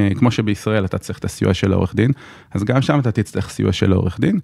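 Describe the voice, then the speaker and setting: Very clean recording of a man with fairly low pitch and ordinary pitch variation, background silent. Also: dry, close sound with no echo. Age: 30s. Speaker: lawyer. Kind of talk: interview. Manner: hesitant, many fillers.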